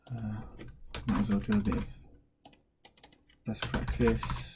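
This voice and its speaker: A quiet man speaks at a fairly slow pace in a fairly low pitch, his voice making very wide pitch swings amid audible room echo. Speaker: tech tutorial creator. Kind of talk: screen-recorded software tutorial. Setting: at home, baby sleeping downstairs. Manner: speaking quietly; casual with many fillers.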